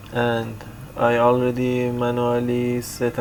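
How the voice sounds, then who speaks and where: Against noticeable background noise, a man with a non-native accent speaks at a medium pitch in a monotone, flat way. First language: not English. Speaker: IT tutorial creator. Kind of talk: tutorial. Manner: halting, many fillers.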